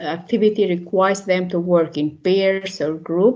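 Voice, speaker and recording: Talking at a moderate pace, a woman is heard through noticeable background noise. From North Macedonia. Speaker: English teacher. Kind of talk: webinar presentation. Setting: online webinar. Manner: formal.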